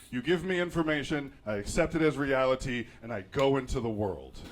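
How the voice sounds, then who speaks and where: A man with a fairly high pitch speaks with lively intonation and vocal fry. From suburban Virginia. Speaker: solo podcaster. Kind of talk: casual monologue. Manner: fast.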